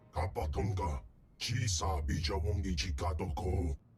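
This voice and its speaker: Putting on a character voice, a man growls at a moderate pace in a very deep, low pitch. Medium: video game.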